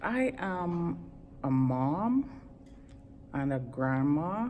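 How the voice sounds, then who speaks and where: A woman's very deep, low voice with lively intonation. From Trinidad, West Indies. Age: 50s. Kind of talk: interview answer. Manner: upbeat, enthusiastic.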